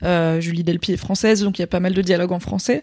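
Very fast and fairly even in intonation, a woman speaks at a medium pitch. The recording is very clean, with a silent background. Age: 30s. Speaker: podcast co-host. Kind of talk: casual chat.

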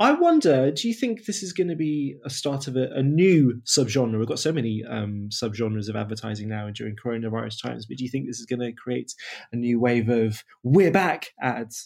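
A man at medium pitch, a normal speaking voice, fairly quick with hardly any pauses and ordinary pitch variation. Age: 30s. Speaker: podcast host. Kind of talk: casual chat. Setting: remote recording.

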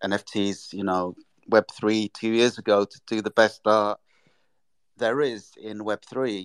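With an English accent, a man speaks at a fairly slow pace in a dry, close sound with no echo, on a very clean recording with a silent background. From England. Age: 60s. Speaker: artist and illustrator. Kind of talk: interview.

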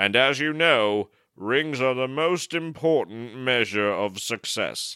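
In a very clean recording with a silent background, a man puts on a character voice at a medium pitch and a fairly slow pace. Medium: comedy sketch. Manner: grandiose, mysterious.

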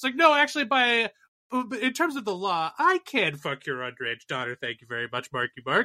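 In an American accent, a man speaks with a raised, projected voice at a fairly quick pace, high in pitch, with very wide pitch swings and a bright, sharp tone, over a quiet background with a dry, close sound and no echo. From Boston area. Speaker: podcast co-host. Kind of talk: casual chat.

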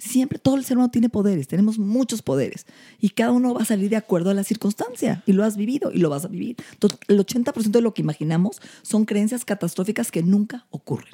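A somewhat breathy woman at a very fast pace, fairly high in pitch, with lively intonation and a dark, mellow tone, in a dry, close sound without echo. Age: 50s. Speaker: anti-aging medicine doctor. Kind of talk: casual chat.

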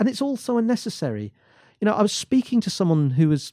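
A man with an English accent speaks at a fairly quick pace. His tone is dark and mellow, and his pitch swings very widely. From England. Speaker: business commentator and columnist. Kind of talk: reading aloud; casual discussion. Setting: studio.

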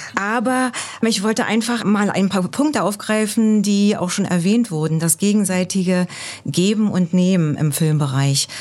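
Here a woman with an unremarkable speaking voice speaks at a medium pitch and a moderate pace. Her loudness stays very even, with ordinary pitch variation. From East Germany. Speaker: embassy cultural staff member. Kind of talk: podcast interview.

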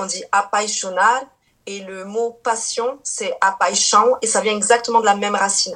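Speaking at a moderate pace, the woman has a fairly high-pitched voice. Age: 30s. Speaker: Portuguese teacher and YouTuber. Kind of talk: casual interview. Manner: hesitant, many fillers.

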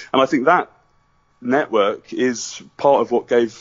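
Fairly even intonation from a man with a British accent. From Britain. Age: 30s. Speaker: documentary filmmaker. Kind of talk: interview.

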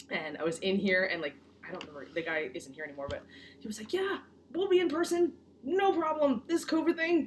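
Against noticeable background noise, a woman with an American accent speaks at a high pitch with very wide pitch swings. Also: fairly quick pace, big swings in loudness. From Connecticut, US. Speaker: law student. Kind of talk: casual chat. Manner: animated, laughing often.

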